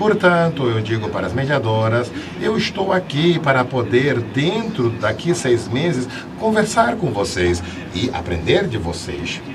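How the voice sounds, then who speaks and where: Noticeable background noise and audible room echo surround a man's voice. He talks at a fairly slow pace with very wide pitch swings. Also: medium pitch for a man. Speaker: seminar panelist on children's literature. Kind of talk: panel discussion talk. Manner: animated.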